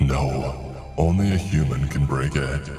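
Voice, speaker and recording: A man puts on a booming character voice and speaks at a fairly slow pace. Clear music plays in the background, and there's a clear echo. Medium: read story. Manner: archaic, solemn.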